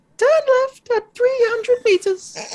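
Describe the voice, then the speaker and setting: Someone in a put-on character voice speaks at a fairly slow pace with an extremely high pitch. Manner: robotic.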